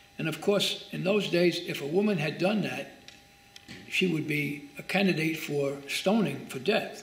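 A man with a high voice talks at a fairly slow pace. Room echo is audible. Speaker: pastor. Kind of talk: bible study teaching. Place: church.

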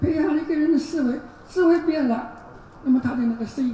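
A woman at a fairly quick pace, ordinary pitch variation, and noticeable background noise behind her. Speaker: university professor giving a keynote. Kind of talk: lecture. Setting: conference stage with audience. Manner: halting, fillers.

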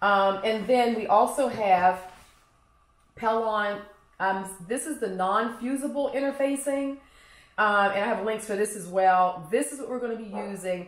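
The voice moves at a fairly slow pace with ordinary pitch variation, and audible room echo is present. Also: woman. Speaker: craft instructor. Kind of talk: tutorial. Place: kitchen.

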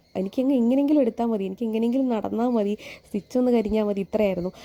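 A woman with a dark, mellow tone and fairly even intonation. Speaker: vlogger. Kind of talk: vlog narration.

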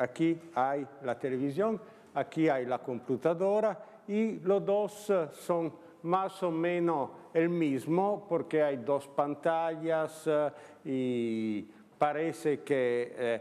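A man with an Italian accent speaks very slowly with lively intonation at a fairly high pitch. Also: very even loudness. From Italy, Turin. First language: Italian (speaking Spanish). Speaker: philosopher. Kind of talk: lecture. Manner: halting.

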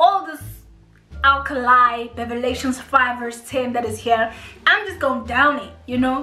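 There is faint music behind a woman with a high pitch and a raised, projected voice. The room echo is audible. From South Africa. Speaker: YouTuber. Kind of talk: casual storytime talk to camera while eating. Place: home room. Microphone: camera far.

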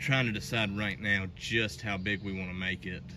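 Over noticeable background noise, a man talks at a moderate pace in a very deep, low voice. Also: dry sound with no echo. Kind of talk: casual vlog chat. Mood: relaxed, light joking. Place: garden. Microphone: phone near.

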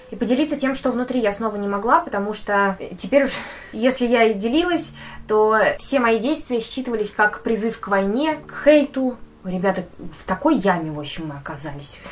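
Fairly high female voice at a moderate pace, with very wide pitch swings, big swings in loudness and light background noise. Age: 20s. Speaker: video blogger. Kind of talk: personal vlog monologue. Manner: casual, with swearing. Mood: sad, confessional. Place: home room.

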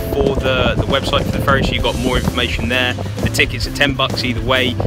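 Loud background music behind a man's voice, dry with no echo and with ordinary pitch variation. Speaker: local realtor vlogger. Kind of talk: casual vlog chat. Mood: upbeat, recommending. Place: waterside. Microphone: phone near.

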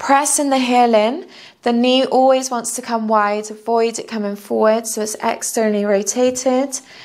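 A woman speaks in a gentle tone at a fairly high pitch, her intonation fairly even against a quiet background. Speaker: yoga instructor. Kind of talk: guided yoga class, calm step-by-step cueing. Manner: soothing, slow and unhurried; gentle, encouraging. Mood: calm, soothing. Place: home room. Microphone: lapel.

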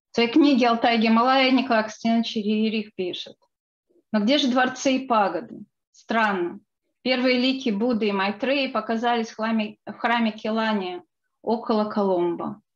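A woman with a plain, everyday voice speaks at a fairly high pitch and a moderate pace, her intonation fairly even against a quiet background. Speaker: book co-author and researcher. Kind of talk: lecture. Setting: video call.

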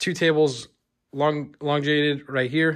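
A quiet background behind a man's voice. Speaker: hobby vlogger. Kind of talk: casual vlog chat. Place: home room. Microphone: phone near.

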